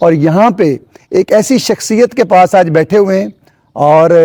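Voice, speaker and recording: Heard dry and close with no echo, a man with a high pitch and ordinary pitch variation has a dark, mellow tone. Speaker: interviewer, show host. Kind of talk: show intro to camera.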